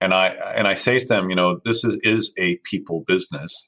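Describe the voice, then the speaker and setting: The speech moves at a fairly quick pace in a dry, close sound with no echo. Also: man. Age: 50s. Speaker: management company founder.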